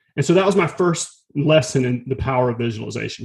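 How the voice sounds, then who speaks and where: Very fast pace from a man with an American accent, medium pitch, vocal fry and ordinary pitch variation. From US South, rural North Florida. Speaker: fitness and meditation instructor. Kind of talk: casual interview chat and storytelling.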